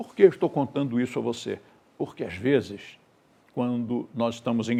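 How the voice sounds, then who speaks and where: This man has a dark, mellow tone. He talks at a moderate pace. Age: 70s. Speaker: teacher, movement founder. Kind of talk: lecture.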